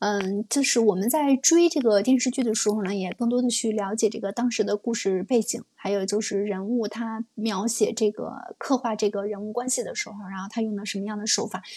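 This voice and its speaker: A woman speaks at a fairly quick pace with hardly any pauses, her fairly high voice showing ordinary pitch variation. The sound is dry and close with no echo, with noticeable background noise. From northern China. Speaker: livestream show host. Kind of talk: casual chat. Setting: livestream.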